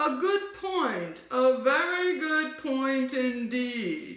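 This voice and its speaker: A woman's put-on character voice, high-pitched, with very wide pitch swings, a very slow pace and a slight echo. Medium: read story.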